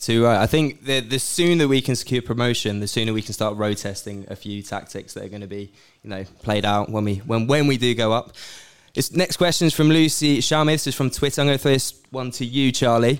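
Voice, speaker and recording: The speaker has a normal speaking voice and a fairly quick pace. Pitch variation is ordinary. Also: man, medium pitch for a man. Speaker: co-host interviewing guest. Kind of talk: live podcast interview. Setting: stage with live audience.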